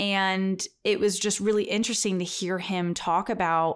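Heard in a very clean recording with a silent background, the speaker has a plain, everyday voice. The pace is moderate and the pitch varies in an ordinary way. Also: woman. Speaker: genetic counselor and podcaster. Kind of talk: storytelling.

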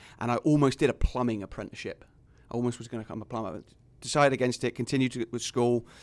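With an English accent, a man talks very fast at medium pitch, his intonation fairly even and his loudness swinging widely, on a very clean recording with a silent background. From England. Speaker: college soccer coach. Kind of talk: casual chat.

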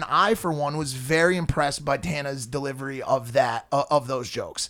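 The recording is very clean and the background silent. The talking proceeds at a moderate pace. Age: 30s. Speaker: podcast co-host. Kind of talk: casual chat.

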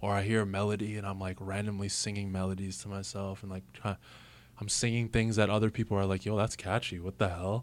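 Fairly low in pitch, a man talks at a very fast pace with monotone, flat intonation. The recording is very clean, the background silent. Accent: Toronto. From Canada, Mississauga, Ontario. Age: 30s. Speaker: rapper. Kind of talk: casual chat. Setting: studio.

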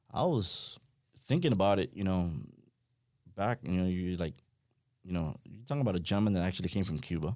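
A man with a very deep, low voice and a dark, mellow tone talks at a fairly quick pace with ordinary pitch variation, broken by long, frequent pauses. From Miami. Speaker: fishing industry professional. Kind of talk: casual chat. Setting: studio.

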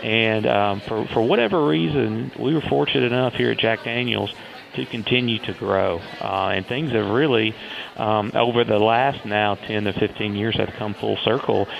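A man with a Southern US accent speaks at a moderate pace with a fairly low pitch. His pitch variation is ordinary, and there is noticeable background noise. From US South, Tennessee. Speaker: whiskey distiller. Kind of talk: interview.

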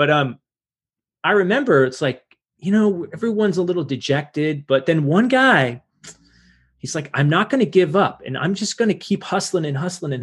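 The man has a high voice that swings very widely in pitch. He talks at a fairly quick pace. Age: 40s. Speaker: podcast host. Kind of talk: interview. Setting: video call.

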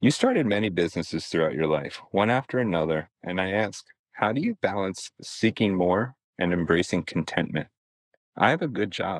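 A man with an unremarkable speaking voice talks at a moderate pace. His pitch is fairly low and his intonation lively. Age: 30s. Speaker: high school teacher, listener. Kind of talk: recorded listener question.

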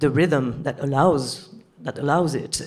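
A woman talks in a French accent. Her pitch is very deep and low, with fairly even intonation. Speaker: film director. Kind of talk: Q and A panel. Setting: stage with audience.

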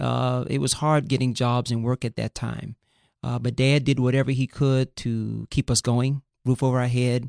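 Someone with an American accent talks at a moderate pace in a monotone, flat intonation. The very clean recording has a silent background and a dry, close sound with no echo. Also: man. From US South, Fort Lauderdale, Florida. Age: 50s. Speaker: pastor. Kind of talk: casual interview.

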